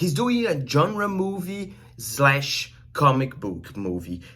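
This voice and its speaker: A somewhat breathy man with a Brazilian accent, at a very slow pace. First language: Portuguese. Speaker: film reviewer and journalist. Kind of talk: movie review. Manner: hesitant, many fillers.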